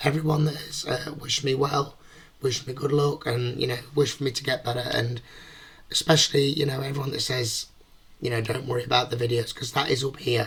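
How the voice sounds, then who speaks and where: Over noticeable background noise, a man talks at a very fast pace in a flat, monotone way. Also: fairly high pitch for a man. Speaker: online reaction video creator. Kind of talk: casual talk to camera.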